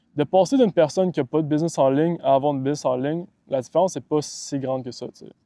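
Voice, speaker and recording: A man speaks at a fairly quick pace in a fairly high pitch with a dark, mellow tone, the sound dry and close with no echo. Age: 20s. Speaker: online business coach. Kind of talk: motivational talk to camera. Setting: outdoors by the water.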